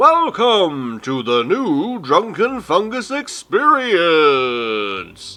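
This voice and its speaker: A put-on character voice, theatrical in tone, very slow, with very wide pitch swings. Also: man, high pitch for a man, hardly any pauses. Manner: announcing, theatrical.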